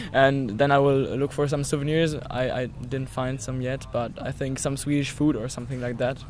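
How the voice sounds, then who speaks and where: A man with a German accent, medium pitch and monotone, flat intonation, hardly any pauses, noticeable background noise and audible room echo. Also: moderate pace. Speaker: visiting youth group member. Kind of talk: interview.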